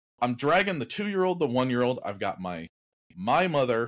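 A man with lively intonation against a quiet background. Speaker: podcast co-host telling a story. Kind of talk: casual podcast storytelling. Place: home room.

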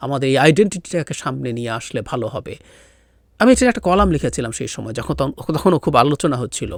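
Against a quiet background with dry sound and no echo, a man's fairly high voice carries vocal fry, lively intonation and big swings in loudness. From Bangladesh, Rangamati hill district; Bangladesh. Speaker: political commentator. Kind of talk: solo political commentary. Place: home room. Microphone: studio mic.

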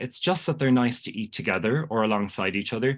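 In a Cork accent, a man talks very fast at a medium pitch with lively intonation. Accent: Irish (Cork). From Ireland. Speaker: pastry chef. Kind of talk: casual interview chat. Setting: video call. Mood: warm, enthusiastic. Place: home room. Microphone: earbuds.

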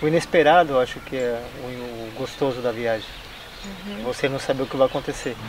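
Noticeable background noise surrounds a man speaking at a moderate pace. His pitch varies in an ordinary way, and the sound is dry with no echo. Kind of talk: interview answer. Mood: warm, cheerful. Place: garden.

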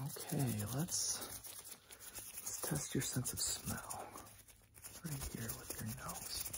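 Whispering, a man speaks at a very slow pace with long, frequent pauses. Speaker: ASMR creator. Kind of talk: ASMR roleplay, whispered medical exam. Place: home room.

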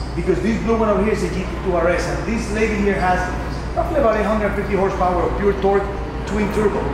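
Music plays in the background as a man speaks at a moderate pace, with audible room echo. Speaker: car collector host. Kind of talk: casual explanatory chat. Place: garage.

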